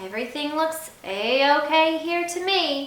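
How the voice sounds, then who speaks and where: A woman speaks fairly slowly in a put-on character voice, high-pitched with lively intonation and a slight echo. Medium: read story.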